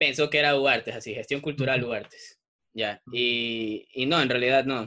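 At a moderate pace, a man uses an ordinary speaking voice. His pitch is medium and his intonation fairly even. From Ecuador, Salinas (coastal). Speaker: music journalist. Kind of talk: casual chat.

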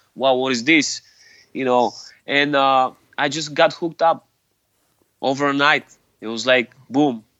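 Speaking with a Bulgarian accent, a man talks at a fairly slow pace with long, frequent pauses. His pitch is fairly high and his intonation fairly even. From Bulgaria, Sofia. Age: 40s. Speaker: hardcore musician. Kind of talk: interview. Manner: halting.

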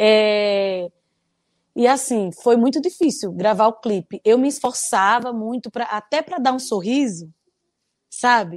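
Using an unremarkable speaking voice, a woman speaks at a fairly slow pace and fairly high pitch with lively intonation, on a very clean recording with a silent background and a dry, close sound with no echo. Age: 30s. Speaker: gospel singer and author. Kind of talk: testimony.

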